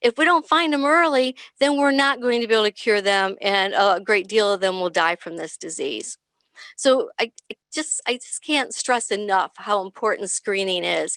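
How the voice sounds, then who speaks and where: On a very clean recording with a silent background, a woman with a plain, everyday voice speaks at a moderate pace, her fairly high pitch carrying lively intonation in a dry, close sound with no echo. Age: 60s. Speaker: nurse practitioner. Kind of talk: panel presentation.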